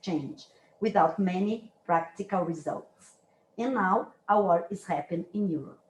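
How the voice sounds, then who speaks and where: With a Brazilian accent, a woman talks at a moderate pace. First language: Brazilian Portuguese. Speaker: dance researcher and university lecturer. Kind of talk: academic lecture. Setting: lecture room, hybrid online and in person. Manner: halting, with self-corrections.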